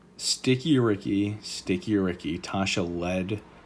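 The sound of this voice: What comes through is an unforced reading voice.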